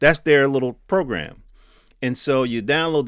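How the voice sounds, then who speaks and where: A man speaks loudly. His tone is bright and sharp. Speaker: tech news podcaster. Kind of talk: casual commentary.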